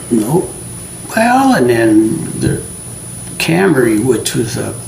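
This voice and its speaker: A man speaks with a western US accent. The room echo is audible and there is noticeable background noise. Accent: rural western US. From Montana. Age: 70s. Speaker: local resident interviewee. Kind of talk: oral history interview. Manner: hesitant, many fillers.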